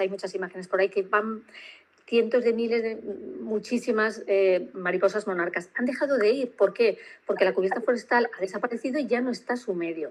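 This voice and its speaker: At a fairly quick pace, a woman talks with a fairly high pitch. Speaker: nutrition doctor and health coach. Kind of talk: interview. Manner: fast; animated.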